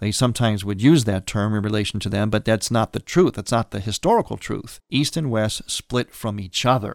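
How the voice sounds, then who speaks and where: An unremarkable speaking voice at a fairly quick pace with hardly any pauses, ordinary pitch variation, a dry, close sound with no echo, and a very clean recording with a silent background. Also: man, fairly low pitch for a man. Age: 60s. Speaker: priest and radio host. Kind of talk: religious radio talk.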